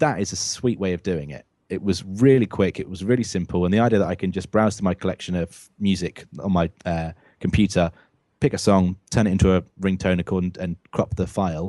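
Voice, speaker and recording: Against a quiet background, a man with a British accent speaks at a fairly quick pace in a very deep, low pitch. His tone is dark and mellow, with ordinary pitch variation. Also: dry, close sound with no echo. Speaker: tech podcast co-host. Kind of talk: casual podcast chat. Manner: many fillers (um, uh).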